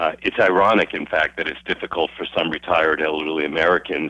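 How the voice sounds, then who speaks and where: Speaking at a very deep, low pitch, a man keeps his intonation fairly even. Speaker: investment banker, firm president. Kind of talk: interview. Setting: phone call.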